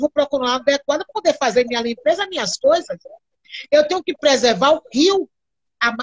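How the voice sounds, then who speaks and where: Her intonation lively, a woman is speaking. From Bahia, Brazil (quilombo near Candeias). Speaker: cultural activist and candomblé practitioner. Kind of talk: live-stream interview. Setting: video call live stream.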